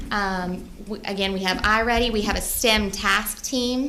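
A woman's voice with fairly even intonation, noticeable background noise and audible room echo. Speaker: school principal. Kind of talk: presentation to school board. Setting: board meeting. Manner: fast.

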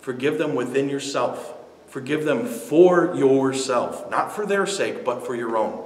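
A man speaking at a fairly slow pace with ordinary pitch variation, with audible room echo. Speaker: speaker. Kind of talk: motivational talk to camera. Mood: earnest, persuasive about forgiveness. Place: studio.

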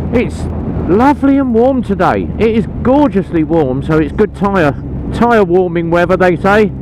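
A high-pitched man, dry sound with no echo, noticeable background noise behind him. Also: moderate pace. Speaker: motorbike rider vlogger. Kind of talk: casual vlog chat. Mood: relaxed, cheerful. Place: motorbike. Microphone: helmet.

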